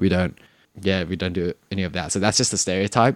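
A man with an Australian accent, very deep and low in pitch, at a fairly quick pace with fairly even intonation, in a dry, close sound with no echo. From Sydney, Australia. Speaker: podcast guest. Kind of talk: casual chat.

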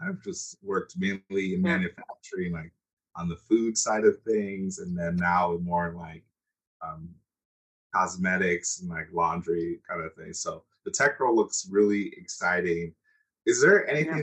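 An American-accented man talks at a moderate pace, his loudness swinging widely. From United States. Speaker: podcast host. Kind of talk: interview.

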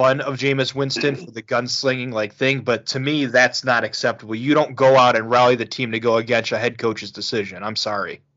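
A man with an American accent speaks in a normal speaking voice at a medium pitch and fairly even intonation. His pace is fairly quick, with hardly any pauses. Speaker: podcast host. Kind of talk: casual chat about football.

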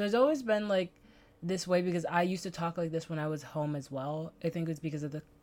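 With a Bahamian accent, a woman speaks at a fairly quick pace. Her pitch is fairly low. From the Bahamas.

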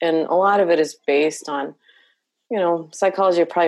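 In a quiet background, a woman's intonation stays flat and monotone. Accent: Spanish. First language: Spanish. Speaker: licensed professional counselor. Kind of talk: casual interview conversation.

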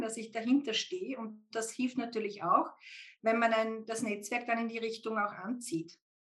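Her tone is bright and sharp, with a fairly high pitch. The woman's pitch varies in an ordinary way. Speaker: IT executive recruiter and podcast guest. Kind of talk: casual interview.

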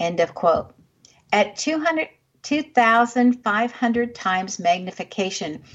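At a very slow pace, the speaker sounds somewhat breathy. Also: woman, fairly high pitch for a woman, lively intonation. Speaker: radio show host. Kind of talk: radio host patter, interview intro and sign-off. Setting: radio studio. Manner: polished, warm, measured.

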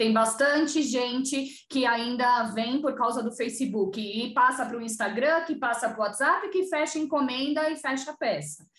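Her voice high, a woman talks at a moderate pace with hardly any pauses and ordinary pitch variation. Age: 40s. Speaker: digital content specialist in family business. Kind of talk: interview.

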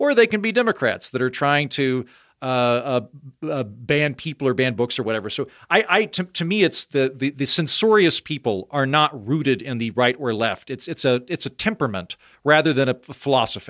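A man with an American accent speaks at a fairly quick pace and a medium pitch, with lively intonation. The recording is very clean, dry and close, with no echo and a silent background. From Oklahoma.

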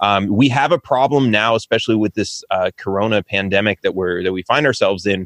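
Speaking with an American accent in a plain, everyday voice, a man talks at a fairly quick pace with hardly any pauses, fairly low pitch and ordinary pitch variation, in a dry, close sound with no echo over a quiet background. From California, identifies as Texan. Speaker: presidential candidate, podcaster. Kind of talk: political debate.

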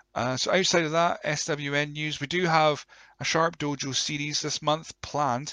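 A croaky man with a fairly high pitch and a bright, sharp tone talks at a moderate pace with fairly even intonation, the sound dry and close with no echo.

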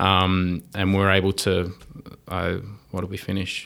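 A man's fairly low voice with an Australian accent. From Wollongong, New South Wales, Australia. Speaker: mechatronics engineer. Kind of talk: casual interview chat. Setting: in-person studio.

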